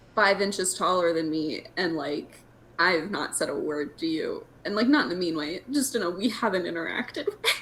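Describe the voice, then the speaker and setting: A woman speaks at a medium pitch with very wide pitch swings. Noticeable background noise sits behind her. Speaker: podcast host. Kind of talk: casual chat. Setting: video call. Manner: animated.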